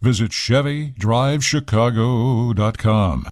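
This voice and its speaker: A man speaks with a plain, everyday voice at medium pitch, his intonation lively. The recording is very clean, with a silent background. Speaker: food business reporter. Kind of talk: radio segment.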